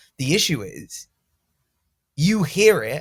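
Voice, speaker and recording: This somewhat breathy voice has an English accent and lively intonation. The recording is very clean, with a silent background. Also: man. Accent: English accent, noticeable. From England. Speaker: sales coach. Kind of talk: coaching session with role play.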